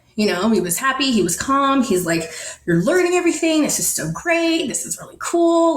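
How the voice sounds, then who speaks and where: Fairly high-pitched and animated, a woman's voice swings very widely in pitch amid audible room echo. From Netherlands. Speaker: storyteller sharing a personal spiritual experience. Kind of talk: personal testimony in an interview.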